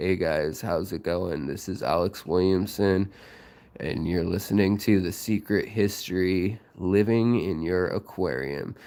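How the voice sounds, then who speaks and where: Quiet and raspy, a man puts on a character voice with a very deep, low pitch. He speaks at a fairly slow pace. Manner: quiet, subdued.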